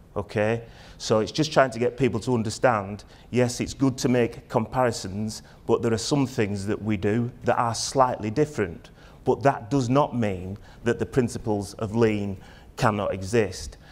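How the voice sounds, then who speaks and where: Moderate pace and ordinary pitch variation from a man's voice. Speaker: conference keynote presenter. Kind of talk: conference talk. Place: stage.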